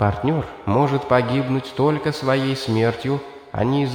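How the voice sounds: Here is a natural reading voice. It carries the whole clip.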